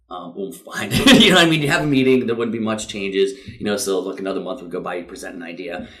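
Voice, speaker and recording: Amid noticeable background noise, a man talks at a very fast pace with a fairly low pitch. His intonation is lively and his loudness swings widely. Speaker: CrossFit gym owner and coach. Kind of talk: casual interview chat. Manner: energetic.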